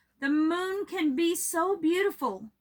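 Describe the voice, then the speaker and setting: A woman's put-on character voice, extremely high in pitch, at a fairly slow pace. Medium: read story.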